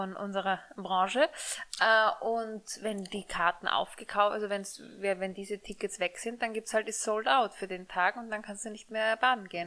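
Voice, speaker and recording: A woman speaks at a moderate pace in an unremarkable speaking voice. Her intonation is fairly even. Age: 30s. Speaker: podcast co-host. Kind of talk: casual chat. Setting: studio.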